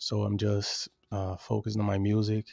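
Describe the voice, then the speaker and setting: A man with a Brazilian accent speaks in a fairly low, dark and mellow voice with monotone, flat intonation, recorded dry and close with no echo. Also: very clean recording, silent background. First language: Portuguese. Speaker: rapper and music producer. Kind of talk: casual interview chat. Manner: halting, with many repetitions.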